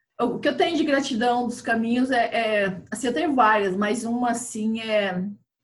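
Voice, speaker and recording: With audible room echo, a woman talks at a moderate pace in a fairly high voice with ordinary pitch variation. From Brazil, Mato Grosso (Chapada dos Guimarães). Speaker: chef and pilgrim hiker. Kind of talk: casual interview chat.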